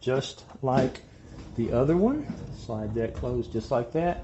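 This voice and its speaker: A man's voice with ordinary pitch variation, a fairly slow pace and light background noise. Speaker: home tour host. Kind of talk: tour commentary. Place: kitchen. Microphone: phone near.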